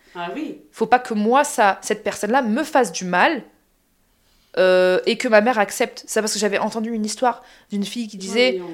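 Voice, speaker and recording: Talking at a fairly quick pace, a woman with an unremarkable speaking voice and fairly high pitch shows ordinary pitch variation. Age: 30s. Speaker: podcast host. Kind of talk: casual chat. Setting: sharing one mic with her mother.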